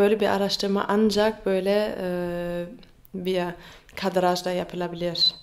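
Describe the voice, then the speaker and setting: With a German accent, a woman speaks at a medium pitch and a very slow pace. Her intonation stays monotone and flat. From Germany. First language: German (speaking Turkish). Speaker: actress. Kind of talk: interview. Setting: radio interview in Istanbul. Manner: halting, with many fillers. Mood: cheerful, smiling. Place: home room. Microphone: phone near.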